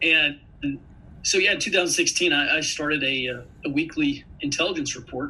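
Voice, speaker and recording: An unremarkable speaking voice: a man with an American accent, fairly high pitch, ordinary pitch variation and a moderate pace. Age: 30s. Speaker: intelligence analyst and army veteran. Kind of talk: interview.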